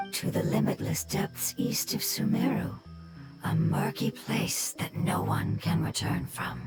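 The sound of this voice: Over faint background music, a put-on character voice drawls at a fairly slow pace, its pitch swinging very widely. There is vocal fry and a slightly mellow tone. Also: woman, low pitch for a woman.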